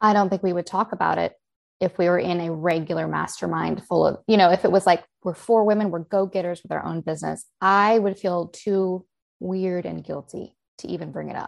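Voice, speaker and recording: A woman with an American accent and a plain, everyday voice talks at a fairly quick pace, fairly low in pitch, with fairly even intonation, against a quiet background. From United States. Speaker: book publishing business founder. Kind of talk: casual chat. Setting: video call.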